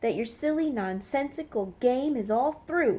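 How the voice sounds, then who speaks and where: A woman puts on a character voice, pitched high, with lively intonation. She keeps to a moderate pace. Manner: snappish, curt.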